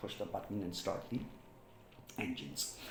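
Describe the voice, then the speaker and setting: Male speech, fairly low in pitch and moderately paced, over noticeable background noise and audible room echo. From Pakistan, Rawalpindi. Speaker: former air force pilot. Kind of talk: personal storytelling vlog. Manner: halting, with repetitions and fillers.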